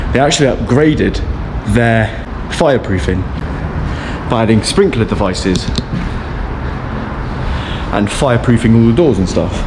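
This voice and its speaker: Long, frequent pauses over noticeable background noise. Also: man, moderate pace. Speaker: urban explorer vlogger. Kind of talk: casual vlog chat. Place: factory. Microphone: phone near.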